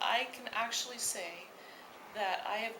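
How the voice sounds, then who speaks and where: Background noise is noticeable and the room echo is audible. A woman with a Wisconsin accent talks at a very slow pace in a fairly high pitch. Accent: Wisconsin accent, heard as Canadian. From US Midwest, Wisconsin. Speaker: university music lecturer and steelpan arranger. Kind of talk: research interview.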